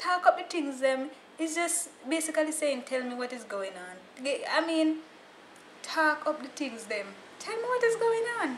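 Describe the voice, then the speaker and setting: A woman with a Jamaican accent speaks at a moderate pace in a high pitch, with very wide pitch swings and big swings in loudness. Audible room echo surrounds her voice. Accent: Jamaican, with Creole features. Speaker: YouTuber. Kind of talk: casual vlog explaining slang. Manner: animated.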